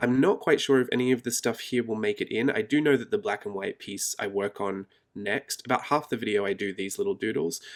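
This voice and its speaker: A man with an Australian accent speaks quietly at a fairly quick pace, with lively intonation. His pitch is medium, and the recording is very clean with a silent background. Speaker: art journaling YouTuber. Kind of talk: casual vlog narration. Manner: low-key, quiet.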